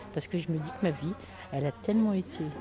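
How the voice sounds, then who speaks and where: A woman speaks with lively intonation. Noticeable background noise can be heard behind her. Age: 60s. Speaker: retired activist taking part in a theatre occupation. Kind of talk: casual chat.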